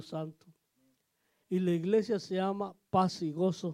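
A man speaks at a very slow pace with a high pitch. His tone is dark and mellow. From Mexico, Oaxaca. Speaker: pastor. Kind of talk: testimony.

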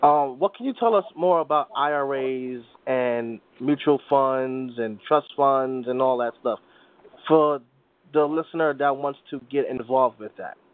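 At a fairly slow pace, a man with an American accent speaks in a fairly high pitch with ordinary pitch variation. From New York. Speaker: podcast host. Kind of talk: interview. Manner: halting, repeats words.

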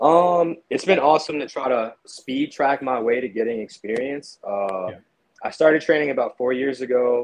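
This man speaks in a normal speaking voice at medium pitch with an American accent, ordinary pitch variation and a moderate pace. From New Jersey (Piscataway), born Brooklyn. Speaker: amateur MMA fighter. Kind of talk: casual chat.

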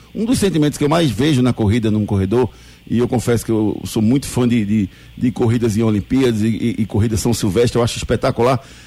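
A somewhat breathy man's voice, medium in pitch, with a dark, mellow tone. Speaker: radio sports host. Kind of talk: live radio show presenting. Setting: radio studio, live broadcast. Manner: animated, upbeat.

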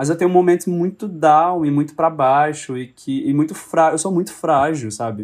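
In a plain, everyday voice, a man speaks at a fairly high pitch and a moderate pace with ordinary pitch variation and hardly any pauses. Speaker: actor and director. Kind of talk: casual chat.

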